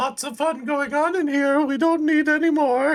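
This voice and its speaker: A man performs a put-on character voice over faint music in the background. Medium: actual play. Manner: put-on high female voice.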